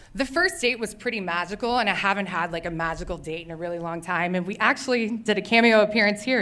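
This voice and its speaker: A woman speaks with very wide swings in pitch. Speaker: storyteller, massage therapist. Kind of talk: live storytelling. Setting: stage with audience. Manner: fast; hesitant, filler-heavy.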